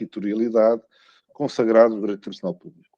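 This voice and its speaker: In a dry, close sound with no echo, a man speaks with a European Portuguese accent. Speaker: law professor. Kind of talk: academic lecture. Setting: video call into a conference. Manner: halting, many fillers and repetitions.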